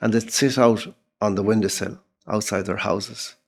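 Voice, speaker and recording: Speaking with an Irish accent, a man has a dark, mellow tone. His pace is moderate. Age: 70s. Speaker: writer and journalist. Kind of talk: casual chat. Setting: in-person interview.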